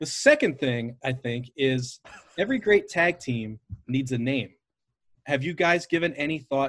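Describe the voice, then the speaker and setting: In a plain, everyday voice, a man speaks at a fairly slow pace and a fairly high pitch. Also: ordinary pitch variation. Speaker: podcast host. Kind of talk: casual interview.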